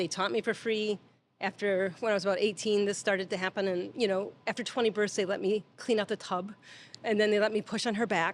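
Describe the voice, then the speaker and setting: A woman with an ordinary speaking voice talks at a fairly quick pace, her medium pitch held in fairly even intonation and her loudness very even. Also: very clean recording, silent background. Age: 60s. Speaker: midwife. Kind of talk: interview conversation.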